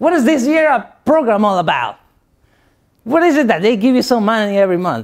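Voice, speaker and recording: Speaking with a Spanish accent at a moderate pace, a man uses a high pitch with very wide pitch swings. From Guatemala. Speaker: motivational speaker. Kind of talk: motivational speech.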